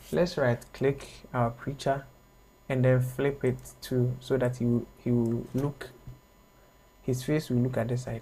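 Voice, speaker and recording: A man's somewhat breathy voice of medium pitch, dark and mellow in tone, fairly slow and monotone with flat intonation. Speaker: graphic design instructor. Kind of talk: online tutorial.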